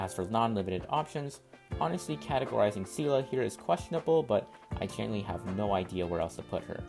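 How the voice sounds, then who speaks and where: Very wide pitch swings at a very fast pace, with music in the background. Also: man, fairly low pitch for a man. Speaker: gaming content creator. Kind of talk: game guide narration. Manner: mellow.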